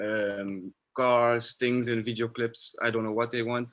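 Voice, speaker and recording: A man at a medium pitch speaks with a non-native accent in a monotone, flat intonation. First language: not English. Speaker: filmmaker. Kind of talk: panel discussion.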